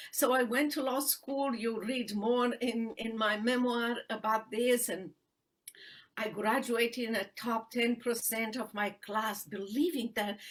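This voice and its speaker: With a Romanian accent, a woman speaks at a fairly high pitch and a fairly slow pace. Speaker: human rights attorney and author. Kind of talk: interview testimony. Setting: live video stream. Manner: halting with many fillers.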